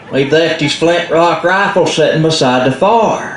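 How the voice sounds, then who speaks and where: A man with a Southern Appalachian accent, fairly high in pitch, very slow in pace, ordinary in pitch variation, amid noticeable background noise. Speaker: storyteller. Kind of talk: live folk storytelling to an audience. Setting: live event in a library.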